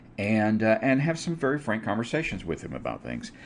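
A man with vocal fry speaks at a moderate pace. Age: 50s. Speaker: podcast host and educator. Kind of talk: solo podcast monologue on religion. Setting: live video stream.

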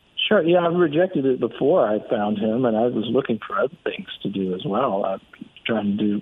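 Pitch varies in an ordinary way at a moderate pace, with noticeable background noise. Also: man. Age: 30s. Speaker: real estate investor. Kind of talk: casual chat.

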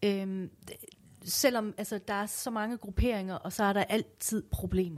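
Fairly slow and fairly even in intonation, this woman's delivery sits at medium pitch. She has an unremarkable speaking voice. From Iran. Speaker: visual artist. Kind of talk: interview. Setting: studio.

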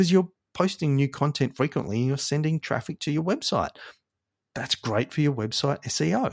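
A man with an Australian accent speaks at a fairly quick pace with a fairly high pitch and lively intonation. The sound is dry and close with no echo, in a very clean recording with a silent background. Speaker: marketing agency podcast host. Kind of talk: casual solo podcast intro.

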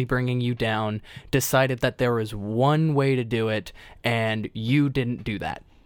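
On a very clean recording with a silent background, a man talks in a normal speaking voice at a fairly slow pace, medium pitch and ordinary pitch variation. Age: 20s. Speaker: podcast co-host and former lifeguard. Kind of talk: casual conversational podcast.

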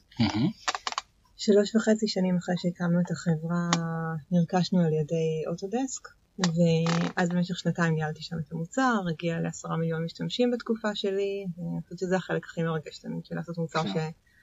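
Against noticeable background noise, a woman talks at a moderate pace, her fairly low pitch varying in an ordinary way. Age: 30s. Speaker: startup founder and CEO. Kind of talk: interview. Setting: studio.

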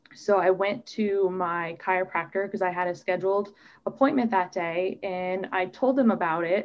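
A plain, everyday voice: a woman at medium pitch with an American accent, ordinary pitch variation and a moderate pace. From US Midwest (Omaha, Nebraska). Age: 30s. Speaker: doctoral student living with MS. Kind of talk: interview testimony.

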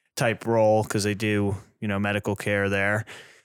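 A man with an American accent talks fairly quickly in a fairly low, flat monotone. The recording is very clean, with a silent background. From New England, US. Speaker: paramedic, podcast co-host. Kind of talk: casual chat. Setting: studio.

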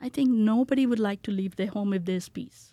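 On a very clean recording with a silent background, a woman of medium pitch speaks at a fairly quick pace with ordinary pitch variation and a dark, mellow tone. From India, Calcutta. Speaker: community outreach director. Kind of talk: casual interview.

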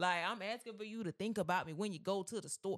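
A loud woman with an animated tone. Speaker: podcast co-host. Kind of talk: casual chat. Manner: naturally loud, animated.

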